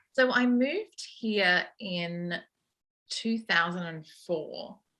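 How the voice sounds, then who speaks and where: A woman with an Australian accent speaks at a very slow pace in a medium pitch. Her tone is bright and sharp, and her intonation is lively. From Australia, Sydney. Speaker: sound editor. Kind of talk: interview.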